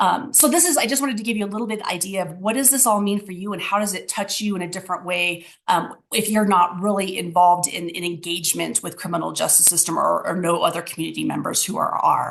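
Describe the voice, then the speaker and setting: A woman at medium pitch, talking very fast with hardly any pauses and ordinary pitch variation. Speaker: city equity office official. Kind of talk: presentation.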